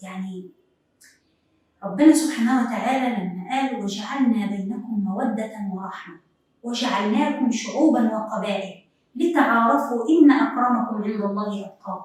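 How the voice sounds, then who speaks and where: At a very slow pace, a woman talks with a fairly high pitch, ordinary pitch variation and big swings in loudness. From Upper Egypt. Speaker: TV presenter. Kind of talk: TV talk show monologue.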